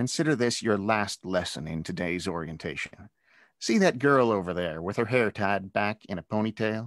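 Natural-voiced reading aloud in quiet surroundings

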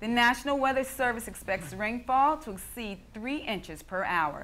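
A woman talks with an American accent and a bright, sharp tone. Her pace is fairly slow. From United States. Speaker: news anchor and reporter. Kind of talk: television news anchor delivery.

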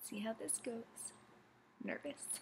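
Over light background noise, a woman talks at a very slow pace in a somewhat breathy voice. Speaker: beauty vlogger. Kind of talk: casual product review chat. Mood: cheerful, a bit nervous. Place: home room. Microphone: webcam.

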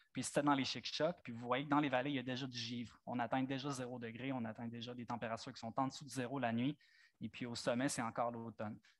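A man's medium-pitched voice at a very fast pace, monotone and flat in intonation, on a very clean recording with a silent background. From Franco-Ontario (eastern Ontario). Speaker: nature photographer. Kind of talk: public talk with slides. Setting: amphitheatre with live audience.

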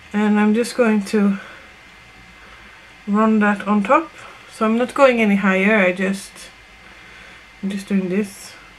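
Light background noise sits behind a woman speaking at a fairly slow pace. She uses fairly even intonation and long, frequent pauses. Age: 30s. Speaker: makeup tutorial creator. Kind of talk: casual makeup tutorial talk to camera. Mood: relaxed, playful. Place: home room. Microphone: webcam.

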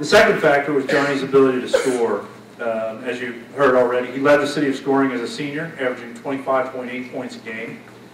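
A man talks at a fairly quick pace with ordinary pitch variation and big swings in loudness, with audible room echo and light background noise. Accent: American. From US Midwest. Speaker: high school coach. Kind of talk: presentation speech. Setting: banquet with audience. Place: hall. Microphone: podium.

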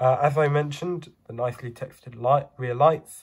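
A somewhat breathy male voice at a fairly slow pace, with fairly even intonation. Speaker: model bus reviewer. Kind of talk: product review. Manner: hesitant, many fillers.

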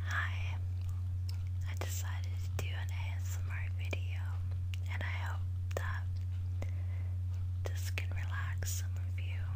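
A woman talks at a fairly slow pace. Loud background noise is heard behind her. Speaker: ASMR creator. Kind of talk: ASMR relaxation talk. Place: home room. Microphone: webcam.

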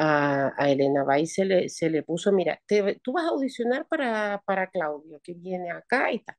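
Over a quiet background, with a dry sound and no echo, comes an ordinary speaking voice with lively intonation. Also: woman. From Chile. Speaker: retired opera singer; guest. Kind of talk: interview. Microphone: video call.

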